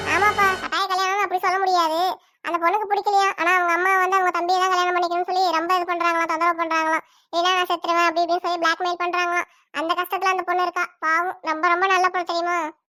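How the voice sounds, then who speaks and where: A woman's cartoonish character voice, extremely high-pitched, monotone and flat, at a very fast pace. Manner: warm, motherly, persuasive.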